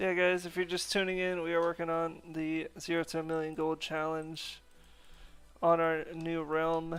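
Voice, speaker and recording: Music plays in the background as a man speaks with an American accent at a moderate pace. His pitch is high and his intonation monotone and flat. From North America. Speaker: gaming streamer. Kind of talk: casual live stream chat. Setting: live stream. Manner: casual, filler-heavy.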